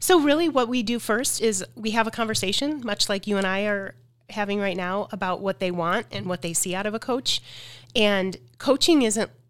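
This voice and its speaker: Here a woman talks with lively intonation. Music plays in the background. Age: 50s. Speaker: life coach. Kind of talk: interview. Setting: studio.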